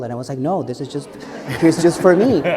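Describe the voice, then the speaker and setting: A man is speaking. He talks with an Ecuadorian accent. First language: Spanish. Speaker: advocacy director. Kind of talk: panel discussion.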